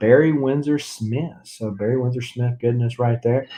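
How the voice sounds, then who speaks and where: Speaking with a Southern US accent, a man has a dark, mellow tone. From US South. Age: 40s. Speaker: comic book YouTuber. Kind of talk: casual livestream chat. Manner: relaxed, many fillers.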